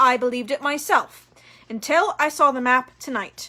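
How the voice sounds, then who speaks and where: Putting on a character voice, a woman speaks high in pitch at a moderate pace. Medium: read story. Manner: calm, measured.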